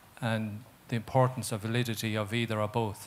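A man with an Irish accent at a moderate pace. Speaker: audience member. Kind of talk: audience question. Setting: stage with audience.

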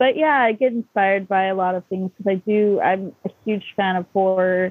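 With an American accent, a woman uses a plain, everyday voice at medium pitch, speaking at a moderate pace with ordinary pitch variation. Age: 30s. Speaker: artist. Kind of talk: casual chat.

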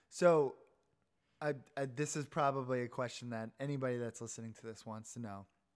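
A man with an American accent speaks in a normal speaking voice at a fairly quick pace, with a medium pitch, fairly even intonation and big swings in loudness. The recording is very clean with a silent background. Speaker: alumni podcast host. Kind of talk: casual interview. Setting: guest's home.

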